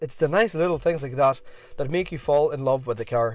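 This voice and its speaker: A man's intonation rises and falls in a lively way while music plays behind him. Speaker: car reviewer. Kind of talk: car review narration.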